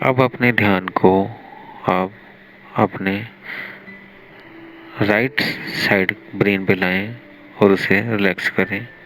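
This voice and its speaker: A man speaks in a calm, soothing tone at a fairly low pitch with fairly even intonation. Long, frequent pauses break his speech, and there is noticeable background noise. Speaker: meditation guide. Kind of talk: guided meditation, yoga nidra for sleep. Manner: slow, calm, soothing.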